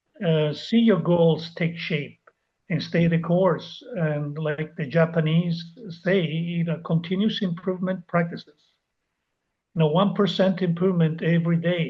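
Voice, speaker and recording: At a fairly slow pace, a man with a non-native accent speaks in a high voice with fairly even intonation. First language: not English. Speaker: life coach. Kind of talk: interview.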